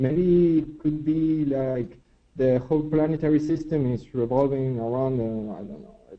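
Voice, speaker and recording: This man speaks with a non-native accent at a fairly slow pace. His pitch sits fairly high. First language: not English. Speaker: student in online class. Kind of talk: class discussion. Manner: halting. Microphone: muffled, far from mic.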